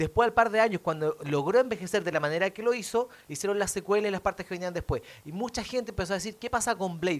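Speaking very fast in a Chilean accent, a man uses a high pitch with ordinary pitch variation. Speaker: comedian. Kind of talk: casual debate.

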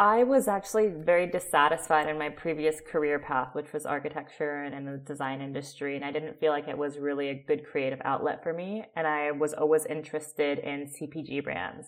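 An American accent at a fairly quick pace, with ordinary pitch variation and hardly any pauses. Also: woman, very deep, low pitch for a woman. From US West Coast, Oakland, California. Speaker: olive oil producer and founder. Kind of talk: interview.

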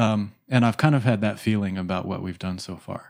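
This man's voice is fairly low in pitch with a dark, mellow tone. He speaks at a fairly quick pace. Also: very clean recording, silent background. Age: 40s. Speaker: spiritual podcast co-host. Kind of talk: spiritual discussion. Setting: studio.

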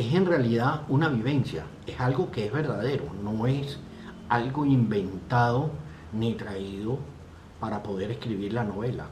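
With audible room echo, a man speaks at a fairly slow pace in a medium pitch with ordinary pitch variation. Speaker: live stream host. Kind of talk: casual chat.

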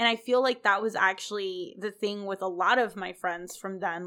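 A loud woman's voice, bright and sharp, at a fairly quick pace. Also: very clean recording, silent background. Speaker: podcast host. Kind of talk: casual chat.

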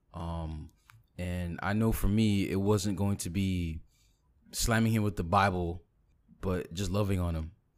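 On a very clean recording with a silent background, a man with a very deep, low voice talks at a fairly slow pace, using fairly even intonation and long, frequent pauses. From Caribbean family background. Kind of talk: casual chat.

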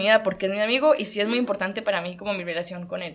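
A woman talks fairly quickly in a medium pitch with ordinary pitch variation. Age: 20s. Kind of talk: personal faith testimony.

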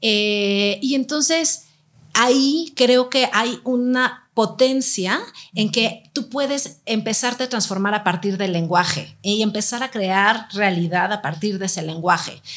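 Here a woman talks with an ordinary speaking voice and ordinary pitch variation. Her pitch is fairly high and her pace fairly slow. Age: 40s. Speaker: workshop leader on childfree choice. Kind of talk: casual chat.

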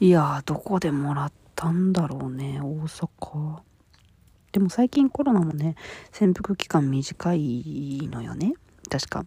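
A woman speaks at a very slow pace. Her pitch is very deep and low, with ordinary variation. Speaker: solo podcaster. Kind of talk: casual solo monologue. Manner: apologetic, casual, laughs often.

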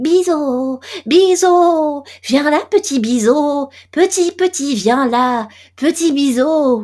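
A put-on character voice, pitched high and delivered at a very slow pace. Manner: coaxing, calling to an invisible fly.

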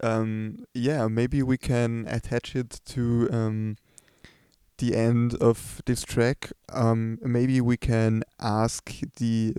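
A man with a German accent speaks in a dark, mellow tone and monotone, flat intonation, the sound dry and close with no echo. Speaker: podcast host. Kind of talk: casual interview. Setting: empty club. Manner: hesitant, many fillers.

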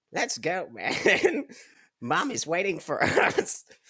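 The clip carries a natural reading voice.

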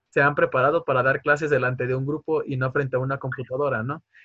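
A man's normal speaking voice at a fairly quick pace, dry and close with no echo. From Tabasco, Mexico. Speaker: university student interviewer. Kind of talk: interview.

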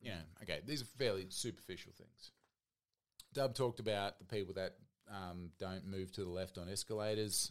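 Someone talks at a fairly quick pace with an Australian accent. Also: man. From Australian Capital Territory. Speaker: guest podcaster. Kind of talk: casual chat.

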